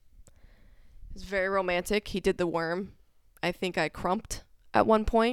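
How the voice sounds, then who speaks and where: Woman at medium pitch and moderate pace, big swings in loudness, fairly even intonation, a dry, close sound with no echo and a very clean recording with a silent background. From US South, Georgia/Tennessee. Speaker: guest, host's wife.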